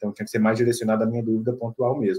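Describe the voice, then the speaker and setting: A man talks at a medium pitch in a dark, mellow tone. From Brazil, Minas Gerais. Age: 20s. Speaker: newly qualified doctor. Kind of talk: interview. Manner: hesitant, many fillers.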